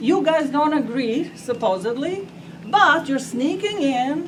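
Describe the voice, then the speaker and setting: A woman's high voice in a non-native accent, very slow, with very wide pitch swings, audible room echo and noticeable background noise. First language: not English. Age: 80s+. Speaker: resident speaking at public meeting. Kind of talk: public comment at meeting.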